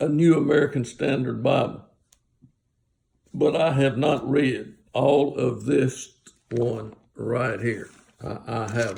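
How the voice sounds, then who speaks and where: A man with a dark, mellow tone and vocal fry speaks at medium pitch and a very slow pace, leaving long, frequent pauses. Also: ordinary pitch variation. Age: 70s. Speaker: Bible teacher. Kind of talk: casual Bible talk. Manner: halting.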